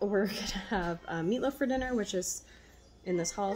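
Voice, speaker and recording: Music plays in the background. A woman talks at a very fast pace. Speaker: stay-at-home mother. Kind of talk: casual talk to camera. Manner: soft-spoken. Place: kitchen. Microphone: phone near.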